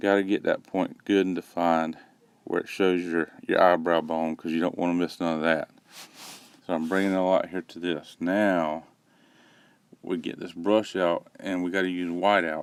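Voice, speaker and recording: A man with a Southern US accent speaks at a moderate pace in a very deep, low voice with monotone, flat intonation. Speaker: parent doing a joke voiceover. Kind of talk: comedic makeup tutorial voiceover. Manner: deadpan, rambling.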